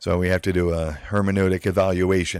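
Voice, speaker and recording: This is a man speaking in a very clean recording with a silent background. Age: 60s. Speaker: philosophy streamer. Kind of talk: live stream monologue. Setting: live stream. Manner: halting, many fillers.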